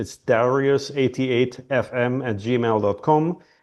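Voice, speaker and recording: A man's medium-pitched voice with a German accent, at a very slow pace. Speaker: healer, former oncologist. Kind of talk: interview. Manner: halting, many fillers.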